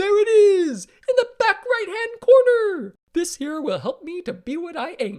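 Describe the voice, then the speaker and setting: Someone uses a put-on character voice at an extremely high pitch. It sounds squeaky and moves at a fairly slow pace. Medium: read story.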